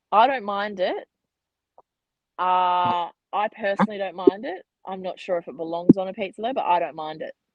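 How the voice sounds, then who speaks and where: The speaker has an Australian accent and a moderate pace, with ordinary pitch variation. Loudness swings widely, and long pauses come often. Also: woman, medium pitch for a woman. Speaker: women's football player. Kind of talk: casual interview.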